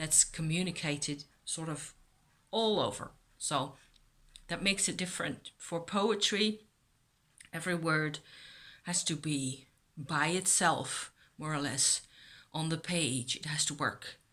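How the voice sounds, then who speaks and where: Ordinary pitch variation in a bright, sharp tone, broken by long, frequent pauses. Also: woman, very deep, low pitch for a woman, fairly slow pace, very clean recording, silent background. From Netherlands. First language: Dutch. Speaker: YouTuber on witchcraft. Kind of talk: casual vlog talk.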